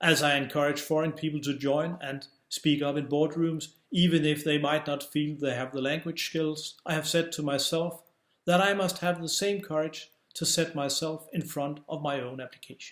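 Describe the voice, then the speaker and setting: A man talks at a moderate pace. His intonation is flat and monotone. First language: Danish. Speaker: publisher and author. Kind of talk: scripted narration.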